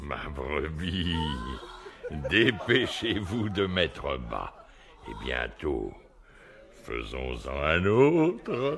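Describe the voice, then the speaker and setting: Using a put-on character voice, a man speaks at a very slow pace with a very deep, low pitch and long, frequent pauses. Clear background noise runs underneath. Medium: audio drama. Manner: boisterous, laughing.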